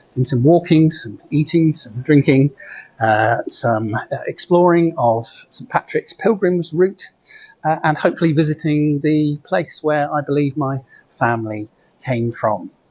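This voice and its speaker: Speaking at a fairly slow pace with a British accent, a man uses a fairly high pitch with ordinary variation, and his voice is somewhat breathy. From Britain. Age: 60s. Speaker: priest. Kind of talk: reflective vlog monologue. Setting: at an airport. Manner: halting, many fillers and repeats.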